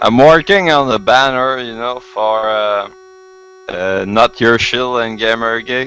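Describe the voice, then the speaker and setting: Over noticeable background noise, a man with a French Canadian accent speaks at a fairly slow pace and medium pitch. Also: ordinary pitch variation. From Quebec. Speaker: caller. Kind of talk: casual chat. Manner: halting.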